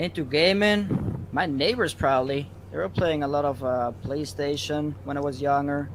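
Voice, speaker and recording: At a moderate pace and with hardly any pauses, a man with a fairly high pitch and lively intonation speaks amid noticeable background noise and audible room echo. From Belgium. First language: Dutch. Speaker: gaming streamer. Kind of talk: casual interview.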